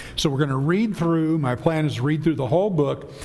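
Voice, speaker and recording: Noticeable background noise sits under this recording. A man talks at a fairly high pitch with ordinary variation. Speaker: Bible class teacher. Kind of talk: Bible class lecture. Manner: conversational, with many fillers.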